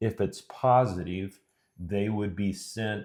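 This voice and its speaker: The recording is very clean, with a silent background. A man with a fairly low pitch talks at a fairly slow pace, his intonation fairly even. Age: 60s. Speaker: retired physician with Alzheimer's. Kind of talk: interview. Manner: halting.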